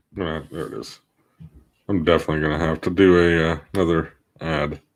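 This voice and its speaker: A man mumbles at a fairly quick pace in a very deep, low pitch. His intonation is monotone and flat. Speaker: podcaster. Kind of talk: solo livestream, editing while talking. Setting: livestream from home. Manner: mumbling; halting.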